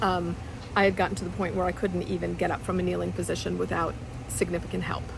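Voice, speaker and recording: A woman speaks over noticeable background noise. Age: 60s. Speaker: fitness client. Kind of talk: testimonial interview answer. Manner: hesitant, filler-heavy.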